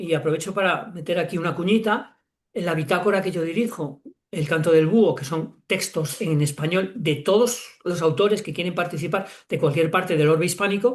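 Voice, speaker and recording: An animated voice with a Spanish accent at a moderate pace over a quiet background. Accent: Spanish from Spain, clear z sounds. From Spain, Castile and León. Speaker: children's author and academic. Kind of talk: interview conversation. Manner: animated, with stammers and repetitions.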